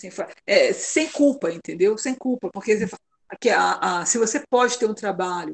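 This woman has a normal speaking voice, fairly high in pitch, at a moderate pace. Her loudness swings widely, and the sound is dry and close with no echo. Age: 50s. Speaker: mother sharing her story. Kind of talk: casual interview conversation.

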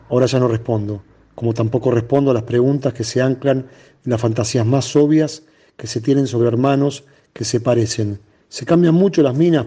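Against a quiet background, a man with a dark, mellow, somewhat breathy voice speaks at a medium pitch and moderate pace, his intonation fairly even. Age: 50s. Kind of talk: reading aloud.

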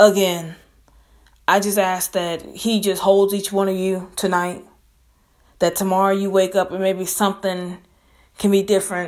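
Speaking in a Southern US accent at a moderate pace, the voice stays monotone and flat, broken by long, frequent pauses. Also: woman, medium pitch for a woman. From Mississippi. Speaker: podcaster. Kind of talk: casual podcast monologue, motivational.

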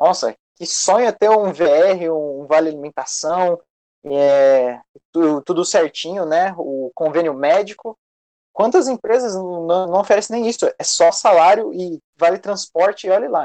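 Recorded dry and close with no echo, a man talks at a fairly slow pace in a high pitch with ordinary pitch variation. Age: 20s. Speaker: history student and youth activist. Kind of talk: casual discussion. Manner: halting, many fillers.

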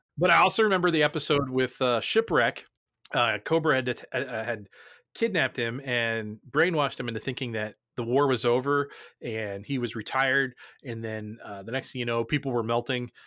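Someone with an American accent talks at a fairly quick pace in a bright, sharp tone with ordinary pitch variation, on a very clean recording with a silent background. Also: man, medium pitch for a man. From New Jersey. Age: 40s. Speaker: podcast host. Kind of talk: casual chat.

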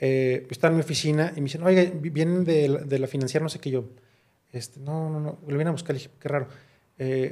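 A man with a plain, everyday voice speaks at a fairly quick pace with a fairly high pitch and fairly even intonation. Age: 30s. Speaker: podcast host, lawyer. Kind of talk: casual chat.

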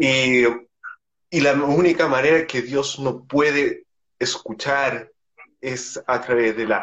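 A man speaks at a fairly high pitch. His pace is very slow. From Chile. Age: 20s. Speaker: podcaster. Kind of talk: casual interview. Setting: Instagram live video call.

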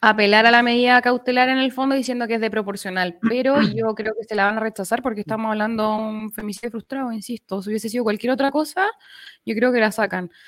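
A woman talking at a very fast pace in a fairly high voice, with a Chilean accent and fairly even intonation. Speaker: lawyer. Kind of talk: casual chat.

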